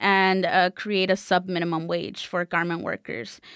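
Recorded very cleanly over a silent background with a dry, close sound and no echo, a woman with an American accent speaks at a medium pitch. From South Central Los Angeles. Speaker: labor organizer. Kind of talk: radio interview.

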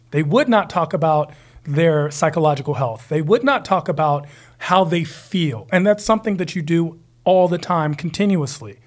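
A man speaks at a moderate pace in a normal speaking voice, fairly high in pitch with ordinary pitch variation. The recording is very clean with a silent background. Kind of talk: casual banter.

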